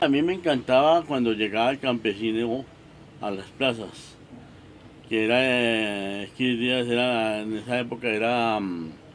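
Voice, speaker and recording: The speaker uses ordinary pitch variation at a fairly slow pace. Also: man, medium pitch for a man. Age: 60s. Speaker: locksmith, market vendor. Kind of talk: documentary interview testimony. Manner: halting, many repetitions.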